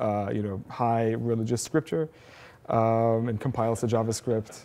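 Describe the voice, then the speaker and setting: A man speaks at a fairly quick pace. His tone is dark and mellow, at medium pitch. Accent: Arabic. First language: Arabic. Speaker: programmer and educator giving a tech talk. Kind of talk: conference talk. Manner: casual, many filler words.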